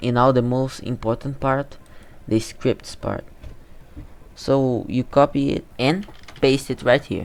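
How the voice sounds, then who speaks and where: Speaking very slowly with long, frequent pauses, a man with a non-native accent keeps a medium pitch and fairly even intonation. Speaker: game development youtuber. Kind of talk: screen-recorded tutorial. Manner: halting, repeats words.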